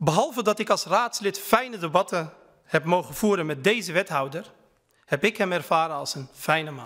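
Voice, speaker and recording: Against a quiet background, a man with a high-pitched, bright, sharp tone speaks at a moderate pace with big swings in loudness. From Netherlands, Utrecht (Kanaleneiland); Netherlands. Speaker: member of parliament. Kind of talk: parliamentary speech. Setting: parliament chamber. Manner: formal. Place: hall. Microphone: podium.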